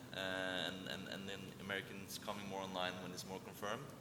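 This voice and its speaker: A man talking at a very fast pace, his pitch fairly low, with noticeable background noise. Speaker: investment banker. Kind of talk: panel discussion. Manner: hesitant, repeats words.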